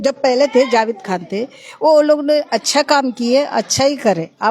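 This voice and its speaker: A woman talks in a high pitch. The variation in her pitch is ordinary. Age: 60s. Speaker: local resident interviewed on street. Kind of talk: street interview.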